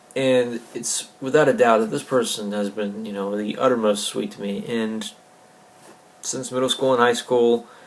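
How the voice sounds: A man speaks at a fairly slow pace in a fairly low pitch with little pitch movement, and audible room echo surrounds him.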